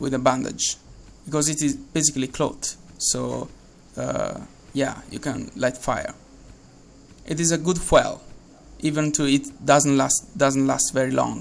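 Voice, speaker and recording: With an Italian accent, a man talks at a fairly slow pace, broken by long, frequent pauses. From Italy. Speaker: game developer. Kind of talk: tutorial. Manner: halting, many fillers and repeats.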